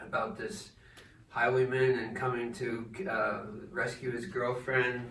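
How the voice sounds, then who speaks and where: A man's medium-pitched voice at a fairly slow pace, with ordinary pitch variation, noticeable background noise and audible room echo. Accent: American. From New Jersey. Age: 70s. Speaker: poet and retired English teacher. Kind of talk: informal talk with poetry reading. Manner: halting, many fillers.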